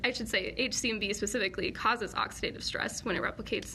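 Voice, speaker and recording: A woman's fairly high, bright and sharp voice with an American accent, at a fairly quick pace. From US, Colorado. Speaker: PhD student in virology. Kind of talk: live Q&A lecture. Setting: live online session. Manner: fast; casual, filler-heavy.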